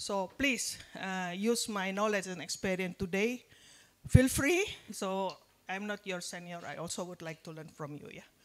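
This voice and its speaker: In an Indonesian accent, the speaker goes at a moderate pace with big swings in loudness. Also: woman, medium pitch for a woman, ordinary pitch variation. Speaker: nutrition and public health expert, guest lecturer. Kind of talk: lecture. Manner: halting, many fillers.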